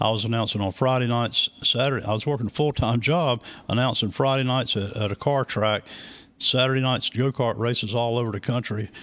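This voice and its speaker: Here is a man with a plain, everyday voice and an American accent, speaking at a fairly quick pace and a medium pitch. The intonation is fairly even, and the recording is very clean with a silent background. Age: 60s. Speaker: racing track announcer. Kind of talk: interview, casual chat. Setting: live radio and video broadcast.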